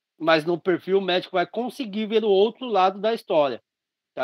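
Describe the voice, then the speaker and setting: This man's voice is high-pitched. He is the only speaker described. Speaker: radiology teacher. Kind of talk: online lecture.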